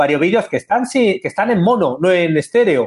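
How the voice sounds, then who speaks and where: With an ordinary speaking voice, a man speaks at a fairly quick pace using lively intonation. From Spain. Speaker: screenwriter and teacher. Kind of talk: interview.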